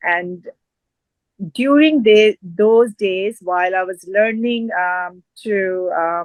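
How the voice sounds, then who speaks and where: The speaker has a Punjabi accent and ordinary pitch variation. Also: woman. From Punjab, northern India, rural village. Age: 40s. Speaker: fitness expert and community advocate. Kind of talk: interview. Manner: hesitant, many fillers.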